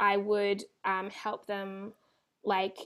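A woman with an Australian accent in a very clean recording, silent in the background. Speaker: children's resilience educator and author. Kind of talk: interview.

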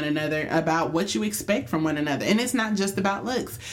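Audible room echo hangs around the voice. The woman talks at a fairly quick pace. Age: young. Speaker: podcast co-host, teacher. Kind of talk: casual chat.

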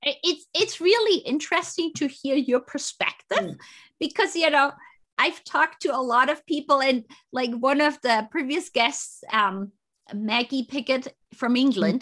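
A woman's raised, projected voice, high-pitched and bright, sharp in tone, with lively intonation over a quiet background. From Germany. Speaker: podcast host and consultant. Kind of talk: interview. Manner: halting.

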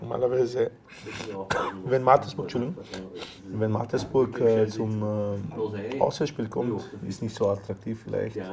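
Noticeable background noise sits under a man's fairly slow speech. He leaves long, frequent pauses and keeps a fairly even intonation. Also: medium pitch for a man. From Macedonia, raised in Austria. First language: Macedonian (speaking German). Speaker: former footballer. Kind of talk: casual chat. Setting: sports ground canteen.

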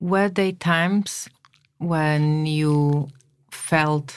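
A woman speaks at a very slow pace with a very deep, low pitch. Her intonation is fairly even, broken by long, frequent pauses. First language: Slovak. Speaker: podcast host. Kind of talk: interview. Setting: studio.

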